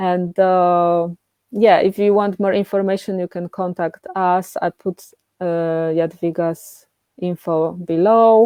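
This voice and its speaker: Flat, monotone intonation marks this woman's speech. She talks at a very slow pace. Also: medium pitch for a woman. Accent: Polish. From Poland. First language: Polish. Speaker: coaching therapist. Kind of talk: casual chat. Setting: live stream.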